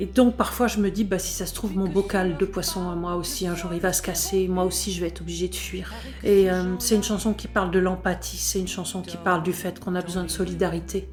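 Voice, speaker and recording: Music plays in the background as a woman speaks at a fairly quick pace with hardly any pauses. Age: 60s. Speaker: folk singer-songwriter. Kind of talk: recorded artist message. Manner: hesitant, with frequent fillers.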